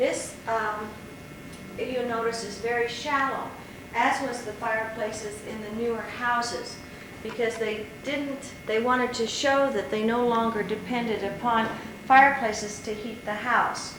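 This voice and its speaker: The speaker has an American accent and talks at a fairly slow pace with fairly even intonation. Audible room echo and noticeable background noise are present. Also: woman, fairly high pitch for a woman. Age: 50s. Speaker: homeowner giving house tour. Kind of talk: home video tour narration. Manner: casual, halting with fillers.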